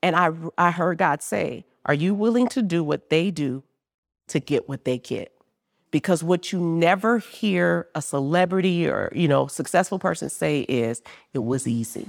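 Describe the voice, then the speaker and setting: Heard on a very clean recording with a silent background and a dry, close sound with no echo, a woman with an American accent uses vocal fry, a fairly low pitch and lively intonation. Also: moderate pace. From New Orleans, Louisiana. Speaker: business founder. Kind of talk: live interview. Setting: stage with live audience.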